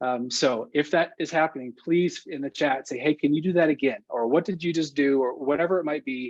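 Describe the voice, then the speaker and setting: Fairly quick speech from a man at a fairly high pitch, with ordinary pitch variation and a quiet background. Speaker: workshop instructor. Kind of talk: online training session. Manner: fast.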